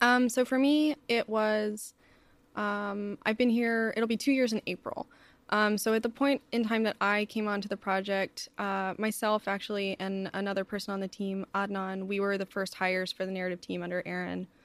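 A woman's medium-pitched, normal speaking voice at a moderate pace, with fairly even intonation, dry and close with no echo, on a very clean recording with a silent background. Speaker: video game writer. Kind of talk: casual interview conversation.

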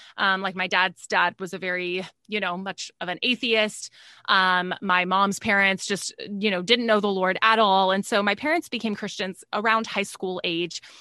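A woman talks at a medium pitch and moderate pace, her tone bright and sharp and her intonation fairly even. The sound is dry and close with no echo, over a quiet background. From Texas. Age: 30s. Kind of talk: interview testimony.

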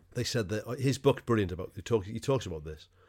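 A very clean recording of a man's fairly low voice, the background silent. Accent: Welsh. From Wales. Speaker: sports podcast co-host. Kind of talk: casual chat.

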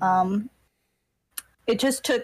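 Somewhat breathy and shaky, a woman talks at a moderate pace in a dry, close sound with no echo. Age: 20s. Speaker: thumbnail artist. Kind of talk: casual chat. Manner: shaky voice.

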